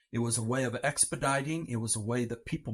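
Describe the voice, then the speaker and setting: A somewhat breathy male voice at a fairly quick pace with ordinary pitch variation, on a very clean recording with a silent background. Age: 60s. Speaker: adoptive father. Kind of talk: interview testimony.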